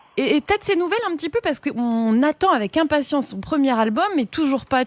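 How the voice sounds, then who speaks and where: A woman with a high voice speaks very fast with very wide pitch swings, recorded dry and close with no echo. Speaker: radio host. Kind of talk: radio show hosting. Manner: upbeat.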